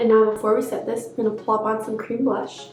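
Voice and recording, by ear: With audible room echo, a woman's dark, mellow voice comes through at a medium pitch.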